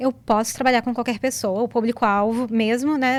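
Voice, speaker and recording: The intonation stays fairly even at a moderate pace. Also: woman. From Brazil. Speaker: business coach. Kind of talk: interview. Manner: calm.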